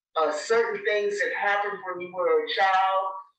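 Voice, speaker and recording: A woman with an American accent speaks with fairly even intonation. Audible room echo surrounds her voice. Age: 80s+. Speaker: church elder. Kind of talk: oral history interview. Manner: halting.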